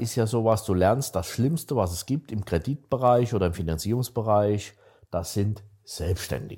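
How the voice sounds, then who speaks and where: Somewhat breathy and dark, mellow in tone, a man's voice sits at a fairly low pitch. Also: very clean recording, silent background. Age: 60s. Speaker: startup investor. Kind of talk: casual chat.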